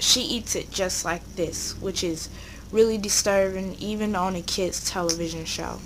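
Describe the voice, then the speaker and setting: Audible room echo and noticeable background noise around a woman's voice. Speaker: YouTuber. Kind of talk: commentary video. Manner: stuttering.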